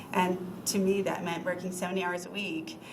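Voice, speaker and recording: A woman speaks at a fairly quick pace and a medium pitch. Audible room echo and noticeable background noise come through. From New England. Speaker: lawyer, former prosecutor, job candidate. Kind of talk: interview before city council. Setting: city council meeting. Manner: many filler ums.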